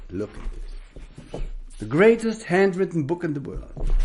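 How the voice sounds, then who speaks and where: A man's fairly high voice with a German accent and very wide pitch swings. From Germany. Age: 70s. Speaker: spiritual teacher. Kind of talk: spiritual talk.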